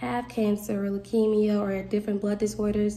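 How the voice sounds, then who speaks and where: In a Southern US accent, a woman is speaking. Her pitch is fairly high. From US South, Mississippi. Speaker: nursing student. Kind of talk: self-introduction video. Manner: casual, giggly. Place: home room. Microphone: phone near.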